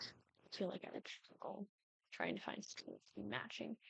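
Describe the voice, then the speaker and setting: A woman speaks with vocal fry. The sound is dry and close, with no echo. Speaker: video game content creator. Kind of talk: gameplay commentary. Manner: halting, many fillers; casual.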